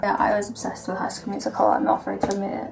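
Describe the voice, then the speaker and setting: A soft-spoken woman talks. Music plays in the background. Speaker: vlogger. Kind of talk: casual talk to camera. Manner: quiet, soft-spoken. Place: garage. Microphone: webcam.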